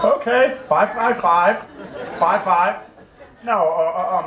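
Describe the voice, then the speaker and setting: Speaking at a fairly slow pace, a man with a high voice is heard over noticeable background noise and audible room echo. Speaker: army veteran. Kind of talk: casual talk to an audience. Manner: halting, many repetitions.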